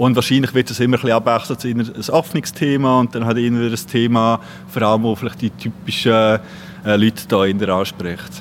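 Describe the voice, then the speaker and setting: With noticeable background noise, a man talks at a fairly quick pace in a medium-pitched voice with lively intonation. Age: 30s. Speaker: cultural venue volunteer. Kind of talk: interview.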